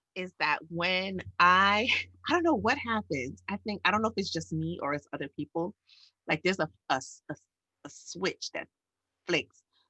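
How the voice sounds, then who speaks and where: A woman with a New York accent at a moderate pace, with long, frequent pauses and a dry, close sound with no echo. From New York City. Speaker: educator and podcast co-host. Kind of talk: casual chat.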